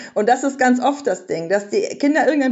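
Her high voice moves at a fairly quick pace, and this woman's intonation is lively. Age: 30s. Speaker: parenting author and journalist. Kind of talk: podcast interview.

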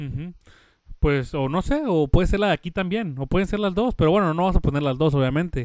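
Over a very clean, silent background, a man speaks at a fairly quick pace in a high pitch with lively intonation. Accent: Mexican. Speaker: podcast co-host. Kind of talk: casual chat.

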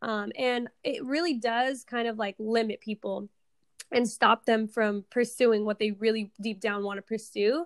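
In an American accent, a woman speaks with a fairly high pitch and fairly even intonation at a fairly slow pace, the sound dry and close with no echo. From US Pacific Northwest, Seattle. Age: 20s. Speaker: entrepreneur and forex trader. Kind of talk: podcast interview.

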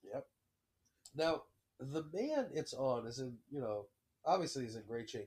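Taking long, frequent pauses at a fairly slow pace, a man with a fairly high pitch speaks in an animated, somewhat breathy voice with ordinary pitch variation. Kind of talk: casual chat.

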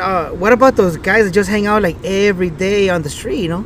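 A man with an American accent and a high pitch for a man talks at a fairly quick pace over noticeable background noise. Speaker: podcast co-host. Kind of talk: casual chat. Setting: outdoors in a park.

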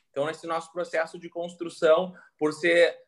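A man speaks at a moderate pace. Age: 20s. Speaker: entrepreneur. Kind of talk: casual interview.

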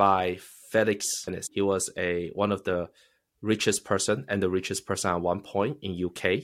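The recording is very clean with a silent background, and a man's voice sits fairly low in pitch. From China. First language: Chinese.

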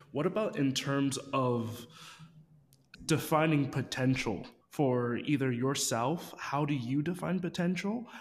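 A man with a plain, everyday voice talks at a fairly slow pace and a fairly high pitch. His loudness stays very even, and his pitch variation is ordinary. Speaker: podcast co-host and co-founder. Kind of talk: casual interview.

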